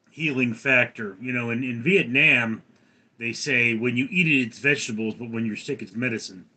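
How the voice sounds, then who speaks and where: Speaking with an American accent at a moderate pace, a man has an unremarkable speaking voice, medium pitch and ordinary pitch variation. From Los Angeles, California. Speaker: live streamer. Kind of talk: casual live stream chat, reading viewer comments. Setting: live stream. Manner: casual, filler-heavy with frequent ums and repeats. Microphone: phone camera and mic instead of laptop webcam.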